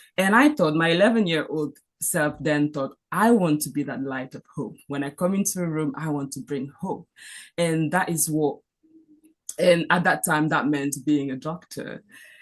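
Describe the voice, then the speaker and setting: With a French accent, a woman speaks at a very deep, low pitch, her loudness swinging widely. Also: ordinary pitch variation, moderate pace. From Cameroon. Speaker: physician. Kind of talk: panel talk. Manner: halting.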